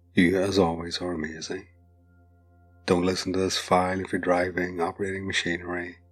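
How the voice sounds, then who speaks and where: A man speaks in a soothing tone with a very deep, low pitch and monotone, flat intonation. Music plays in the background. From British or Irish. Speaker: hypnotist. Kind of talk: hypnosis induction. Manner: slow, soothing.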